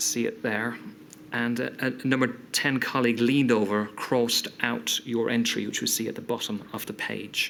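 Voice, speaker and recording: The voice has ordinary pitch variation. Noticeable background noise can be heard. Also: man, medium pitch for a man, moderate pace. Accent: British. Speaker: inquiry counsel. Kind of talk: formal questioning at public inquiry.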